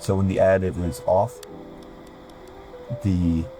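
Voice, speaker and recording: A man talks at a very deep, low pitch. Music sounds in the background. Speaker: gaming video creator. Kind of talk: game tutorial narration. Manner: casual, a bit hesitant.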